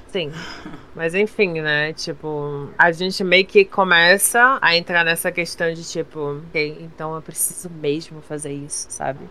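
Against noticeable background noise, a woman talks fairly slowly at a fairly low pitch. Her intonation stays fairly even while her loudness swings widely. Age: young. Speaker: streamer. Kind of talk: casual chat.

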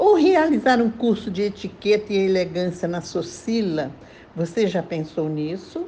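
Somewhat breathy with a dark, mellow tone, a woman speaks at a fairly slow pace with lively intonation. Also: medium pitch for a woman. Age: 80s+. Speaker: retired lawyer and columnist. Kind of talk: prepared talk read aloud.

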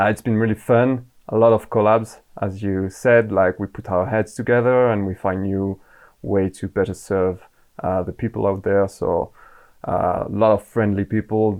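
A man speaks with a French accent at a moderate pace. His pitch is fairly low and his intonation fairly even. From France. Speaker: Amazon advertising manager. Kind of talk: podcast interview.

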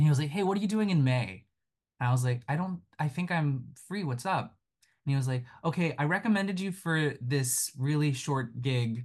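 A man talks at a moderate pace with lively intonation and a fairly high, somewhat breathy voice. The background is quiet. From Japan, Tokyo; moved to US at ten. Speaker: Broadway actor and puppeteer. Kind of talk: interview.

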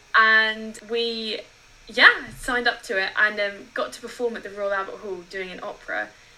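A woman's fairly high voice, fairly slow and monotone with flat intonation, over noticeable background noise. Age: 20s. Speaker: podcast co-host, music graduate. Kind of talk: casual chat.

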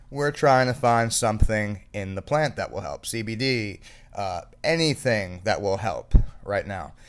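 This man has an ordinary speaking voice at a medium pitch, with ordinary pitch variation and a fairly slow pace. The recording is very clean, with a silent background. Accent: American. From South Florida. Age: 30s. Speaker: podcast host. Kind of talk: casual chat.

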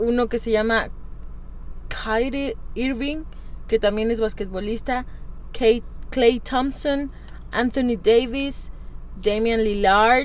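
Speaking at a very slow pace with long, frequent pauses, a woman keeps her intonation fairly even amid audible room echo. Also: fairly high pitch for a woman. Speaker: podcast co-host. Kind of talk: casual chat.

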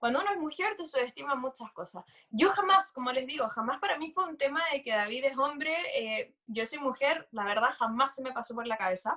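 Her voice is raised and projected, high and bright with a sharp tone. The woman speaks fairly quickly with hardly any pauses and very wide pitch swings. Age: 20s. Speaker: entrepreneur and law student. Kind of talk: casual chat.

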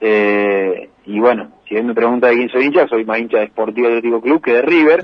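A man's medium-pitched voice with ordinary pitch variation at a moderate pace. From Argentina, Santa Fe province (Las Parejas). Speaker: racing driver. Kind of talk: interview. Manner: hesitant, with many fillers.

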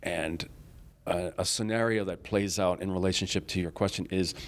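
With an American accent and an ordinary speaking voice, a man talks at a moderate pace in a fairly low pitch with fairly even intonation, on a very clean recording with a silent background. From US Northeast (Rochester, New York). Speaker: Photoshop tutor and online group founder. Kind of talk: casual interview. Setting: recorded at a conference.

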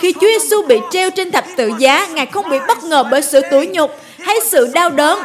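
Through noticeable background noise, a woman speaks at a fairly slow pace with lively intonation. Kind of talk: sermon. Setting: church.

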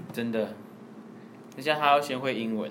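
A man with a Taiwanese accent speaks at a medium pitch and a moderate pace, with ordinary pitch variation. Audible room echo surrounds his voice. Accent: Taiwanese Mandarin. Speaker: podcast co-host. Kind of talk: casual chat.

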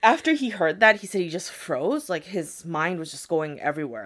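A woman with an American accent has a plain, everyday voice, fairly low in pitch, with lively intonation at a moderate pace. The recording is very clean, with a silent background. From United States. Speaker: podcast host, storyteller. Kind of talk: storytelling in casual chat. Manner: casual, frequent 'like' fillers and laughter.

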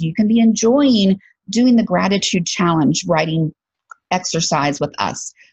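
Speaking in a Southern US accent, a woman with a somewhat breathy medium-pitched voice moves at a moderate pace with lively intonation. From Alabama, US South. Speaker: podcast host and career coach. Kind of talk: casual monologue podcast.

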